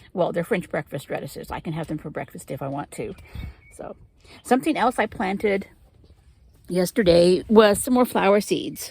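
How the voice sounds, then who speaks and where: A woman speaks at a moderate pace in a relaxed tone, leaving long, frequent pauses. Her pitch swings very widely and her loudness varies a great deal. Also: medium pitch for a woman. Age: 50s. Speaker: gardening vlogger. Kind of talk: casual chat. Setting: in a greenhouse. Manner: relaxed, hesitant with fillers.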